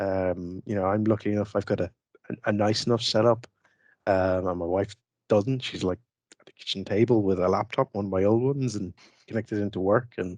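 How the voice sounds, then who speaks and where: Delivered at a fairly quick pace with fairly even intonation, the voice makes big swings in loudness, the sound dry with no echo and the background quiet. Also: man, fairly low pitch for a man. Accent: Irish. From Ireland. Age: 40s. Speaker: IT expert and tool developer; interview guest. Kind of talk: interview. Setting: studio. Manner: hesitant, many fillers. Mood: relaxed, reflective. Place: home room. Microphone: headset.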